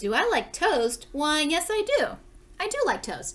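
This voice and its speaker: A woman puts on an extremely high-pitched character voice with very wide pitch swings, speaking at a fairly slow pace over light background noise. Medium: read story. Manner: formal, repetitive.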